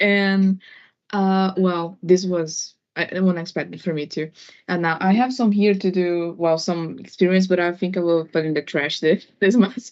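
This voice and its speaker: Her pitch is medium and her intonation fairly even. The woman speaks at a moderate pace in a Portuguese accent. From Brazil. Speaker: audience member asking questions. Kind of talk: live Q&A session. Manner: hesitant, many fillers.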